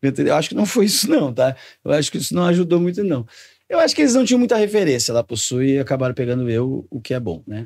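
A man speaks very fast in a fairly high voice, his pitch swinging very widely. The background is quiet. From Rio Grande do Sul, Brazil. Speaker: comedian. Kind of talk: casual chat. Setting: studio. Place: studio. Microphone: studio mic.

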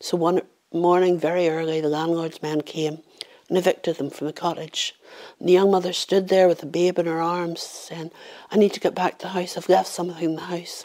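Against a quiet background, a woman with a Northern Irish accent speaks in a fairly low pitch with a dark, mellow tone and monotone, flat intonation. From Northern Ireland. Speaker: professional storyteller. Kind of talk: oral folk-tale storytelling, a haunting famine ghost story told to camera. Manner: measured, hushed storyteller's cadence building suspense; voices characters in dialogue, shifting into villagers' warnings. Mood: calm, somber story. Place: home room.

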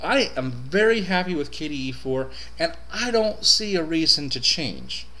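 A man speaks at a fairly high pitch, his voice swinging very widely up and down. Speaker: Linux reviewer. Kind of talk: casual talk to camera. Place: home room. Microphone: webcam.

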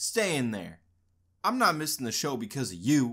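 Put-on character voice, gruff and growling, low-to-middle in pitch, at a moderate pace, on a very clean recording with a silent background. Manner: growling, gruff, irritated.

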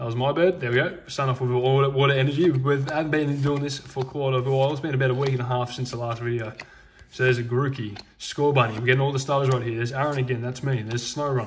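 Light background noise runs behind a man's voice. He speaks at a very fast pace and medium pitch. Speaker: Pokemon card unboxing YouTuber. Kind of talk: card unboxing commentary. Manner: animated.

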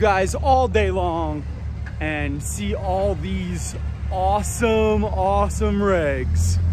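A man speaks in a very deep, low pitch with fairly even intonation, the sound dry with no echo but with noticeable background noise. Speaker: off-road vlogger. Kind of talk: casual vlog chat. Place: forest. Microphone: phone near.

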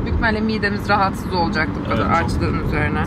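A woman's voice sounds dry with no echo. Loud background noise is present. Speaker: vlogger. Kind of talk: casual vlog chat. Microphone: phone near.

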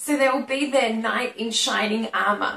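A woman speaks at a high pitch with an Australian accent. Room echo is audible. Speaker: English teacher. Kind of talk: educational lesson to camera. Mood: friendly, smiling.

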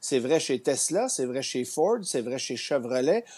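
A man speaks at a fairly slow pace in a Quebec accent. His tone is dark and mellow, with lively intonation. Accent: Québécois French. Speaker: automotive journalist. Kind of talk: news interview. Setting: TV studio. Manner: halting. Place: home room. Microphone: earbuds.

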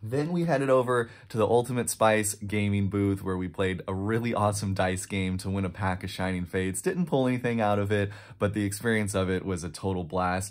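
Fairly quick speech with hardly any pauses over a quiet background. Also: man, fairly low pitch for a man, ordinary pitch variation. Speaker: card collector vlogger. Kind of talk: casual vlog chat. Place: home room.

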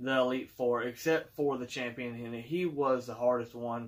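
Quiet background, a man at a fairly slow pace with fairly even intonation. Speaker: collector channel host. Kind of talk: casual vlog chat. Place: home room. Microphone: phone near.

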